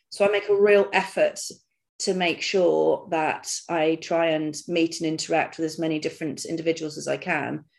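With vocal fry and fairly even intonation, a woman speaks at a moderate pace against a quiet background. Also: fairly low pitch for a woman. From England, Devon (Dartmoor). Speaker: leadership and resilience speaker, ex-army. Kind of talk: podcast interview.

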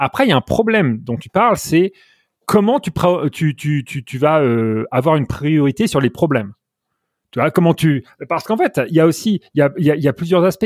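A man talks fairly quickly in a fairly high voice with lively intonation. The recording is very clean and dry, close with no echo and a silent background. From France, Normandy. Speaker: software engineer. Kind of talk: interview. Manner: halting, many repetitions.

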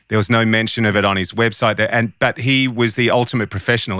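Bright and sharp in tone, the speech comes at a fairly quick pace with fairly even intonation and an Australian accent. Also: man. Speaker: audio engineer and podcast co-host. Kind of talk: casual chat.

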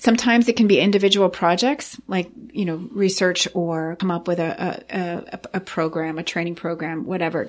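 At a fairly quick pace, a woman talks in a normal speaking voice of medium pitch. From northern Maine, Saint John Valley on the Canadian border. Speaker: nonprofit executive director. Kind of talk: podcast interview.

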